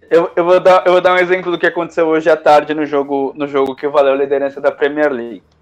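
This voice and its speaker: A man's fairly high voice at a very fast pace, hardly pausing, with fairly even intonation. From Brazil. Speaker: sports radio co-host. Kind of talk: live sports talk show. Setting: remote via Discord. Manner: halting, many repetitions.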